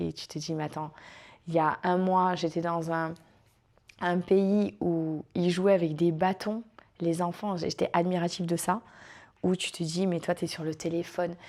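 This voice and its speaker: In a southern French accent, a woman talks at a fairly slow pace with a fairly low pitch, on a very clean recording with a silent background. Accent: southern French, sing-song. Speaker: former cruise ship dancer. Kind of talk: interview answer.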